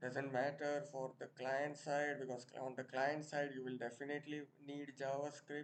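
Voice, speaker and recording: A man with an Indian accent, a fairly high pitch and monotone, flat intonation. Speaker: programming tutor. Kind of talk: tutorial.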